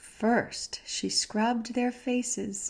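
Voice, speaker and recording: A soft-spoken woman talks at a very slow pace. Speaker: ASMR creator, reading to listener like a mother. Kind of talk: children's storybook reading. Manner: soft-spoken, calming.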